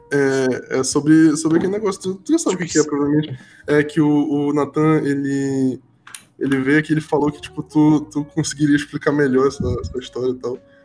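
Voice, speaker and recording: A fairly quick man's voice, fairly high in pitch, with fairly even intonation. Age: 20s. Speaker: podcast host. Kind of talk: casual chat. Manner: halting.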